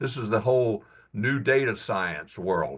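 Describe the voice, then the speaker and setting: A man speaks against a quiet background. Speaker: invited speaker on industrial technology. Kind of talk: technical presentation. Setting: professional section meeting. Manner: halting, many fillers and restarts.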